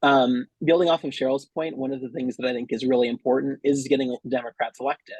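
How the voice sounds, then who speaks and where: Talking at a very fast pace, a man speaks with a Californian accent and fairly even intonation. The sound is dry and close, with no echo. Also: medium pitch for a man, hardly any pauses. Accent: General American, Californian. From US West Coast, San Francisco Bay Area, California. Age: 20s. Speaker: local political candidate. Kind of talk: campaign speech.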